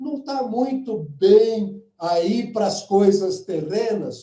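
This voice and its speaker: A man speaks in a high voice with a dark, mellow tone. His pitch varies in an ordinary way. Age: old. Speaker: lecturer. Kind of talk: webinar talk.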